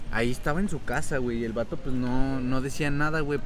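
A man speaks with an unremarkable speaking voice at a medium pitch. His pace is fairly quick and his intonation fairly even. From Tamaulipas, Mexico. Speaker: guest. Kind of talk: casual chat.

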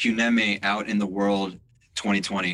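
The man's voice has a bright, sharp tone. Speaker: podcast host. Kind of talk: casual interview. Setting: audio chat room.

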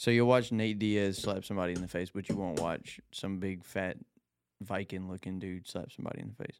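The speech moves at a fairly quick pace. Its intonation stays fairly even. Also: man, very deep, low pitch for a man. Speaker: gun tester for online videos. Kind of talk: casual chat. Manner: loud.

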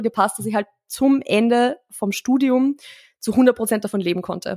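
An unremarkable speaking voice with fairly even intonation and a dry, close sound with no echo. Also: woman. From Austria, rural. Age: 20s. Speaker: marketing consultant and former fitness coach. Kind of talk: casual chat.

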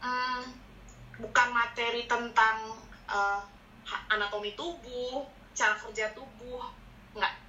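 Pausing long and often, a woman with a fairly high pitch speaks at a very slow pace with fairly even intonation. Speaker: medical student. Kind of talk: casual chat.

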